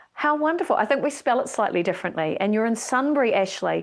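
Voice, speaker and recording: A woman's fairly high, fairly quick voice with lively intonation, an enthusiastic, animated tone and a slight New Zealand accent. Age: middle-aged. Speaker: speaker organisation leader, keynote speaker. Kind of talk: online welcome presentation. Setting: live Zoom broadcast from home studio.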